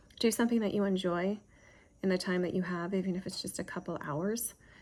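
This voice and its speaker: A woman with a medium pitch and ordinary pitch variation is heard on a very clean recording with a silent background. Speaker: homeschooling mom vlogger. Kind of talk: casual talk to camera. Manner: halting, many fillers.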